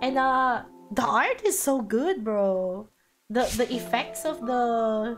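Music plays in the background as a woman speaks very slowly at a fairly high pitch, with lively intonation and very even loudness. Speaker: vtuber game streamer. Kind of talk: live gameplay commentary. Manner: casual, repetitive, animated.

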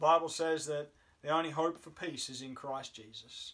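Behind a man's talking, the background is quiet. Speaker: chaplain or preacher. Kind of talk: sermon. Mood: solemn, reflective. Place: home room. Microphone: camera far.

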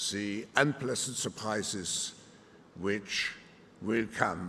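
Speaking at a very slow pace, the man is heard over light background noise. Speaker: keynote speaker. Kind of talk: formal speech. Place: hall. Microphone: podium.

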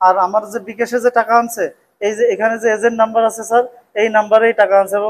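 This man speaks in a high pitch. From Bagerhat, Bangladesh; Bangladesh. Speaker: cloth trader, crime victim. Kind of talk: testimony to police. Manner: halting. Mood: aggrieved, urgent. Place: hall.

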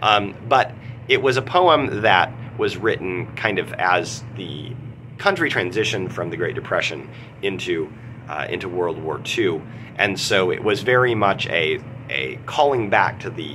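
The speech moves at a fairly slow pace. There is light background noise. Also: man, fairly low pitch for a man. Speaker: literature teacher. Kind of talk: lecture. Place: office. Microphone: phone near.

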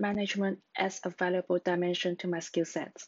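A woman's monotone, flat delivery at a fairly quick pace over a quiet background. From Hong Kong. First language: Cantonese. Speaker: job applicant, researcher. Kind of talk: scripted self-introduction for job application. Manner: formal, prepared. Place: home room. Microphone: webcam.

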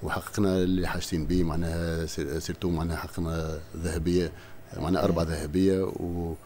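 A man speaks with a Tunisian accent over light background noise. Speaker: sports delegation head. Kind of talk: interview answer. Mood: proud, listing medals. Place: studio.

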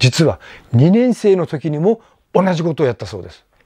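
Against a quiet background, a man talks at a fairly quick pace in a dark, mellow tone, the sound dry with no echo. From Japan, Amami Oshima; Japan. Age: 60s. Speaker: YouTuber and tour guide; former student recalling a teacher. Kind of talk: casual monologue vlog. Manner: halting, many fillers; polite, formal. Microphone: lapel.

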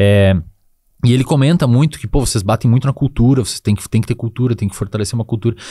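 A man talks at a very fast pace in a medium pitch, with a dark, mellow, somewhat breathy tone and ordinary pitch variation. The recording is very clean, with a silent background. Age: 20s. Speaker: psychologist and neuroscience expert. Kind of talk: casual interview chat.

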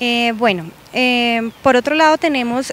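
A woman's voice, dry with no echo. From Colombia, Los Llanos region; Colombia. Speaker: public utility manager. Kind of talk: interview. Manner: hesitant with fillers. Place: street. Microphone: handheld.

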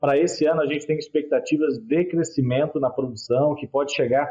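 A man at a moderate pace, his intonation fairly even, against a quiet background. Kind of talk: interview answer. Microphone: video call.

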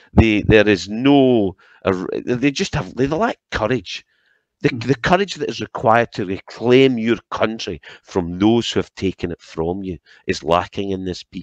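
A man with a Scottish accent and a fairly low voice takes long, frequent pauses, recorded dry with no echo against a quiet background. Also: lively intonation, moderate pace. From Scotland. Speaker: political commentator. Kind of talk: angry political rant. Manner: indignant, impassioned; repetitive, stumbling over words. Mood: critical, indignant. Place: home room. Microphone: headset.

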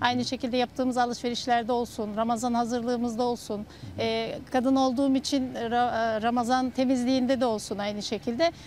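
At a fairly quick pace, a woman speaks at a high pitch with monotone, flat intonation. The sound is dry with no echo, over light background noise. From Turkey. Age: 40s. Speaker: homemaker. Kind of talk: interview. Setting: outdoors. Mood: warm, calm. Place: garden.

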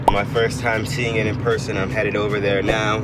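Music sits in the background. Over it, a man talks. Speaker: vlogger. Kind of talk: casual vlog chat. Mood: excited, a bit nervous. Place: car. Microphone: phone near.

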